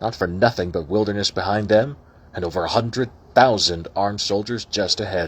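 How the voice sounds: A natural reading voice. Its pitch rises and falls in an ordinary way.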